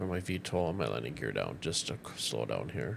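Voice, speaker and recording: A man with a Minnesotan accent talks in a relaxed tone. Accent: Minnesota. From northern Minnesota. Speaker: gaming streamer. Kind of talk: casual gameplay commentary with tutorial.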